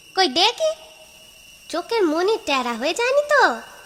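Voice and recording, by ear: In a cartoonish character voice, a woman speaks at a moderate pace with an extremely high pitch and very wide pitch swings.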